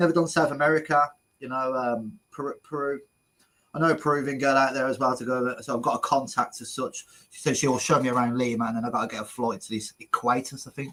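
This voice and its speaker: A man talks at a very fast pace in a medium pitch with a bright, sharp tone, fairly even intonation, and big swings in loudness. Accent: Brummie. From English Midlands, Birmingham. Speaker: travel vlogger, interviewer. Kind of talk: casual interview chat.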